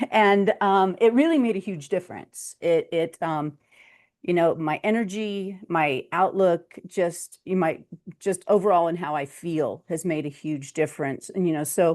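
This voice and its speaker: Fairly low in pitch, a woman speaks in a plain, everyday voice at a fairly slow pace. Her pitch variation is ordinary. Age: 60s. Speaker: patient. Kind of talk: testimony.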